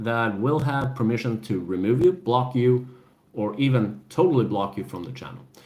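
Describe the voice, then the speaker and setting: A man speaks at a moderate pace in a medium pitch. There is audible room echo. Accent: European. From Sweden. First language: Swedish. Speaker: gaming and adventure channel host. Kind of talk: casual live-stream chat.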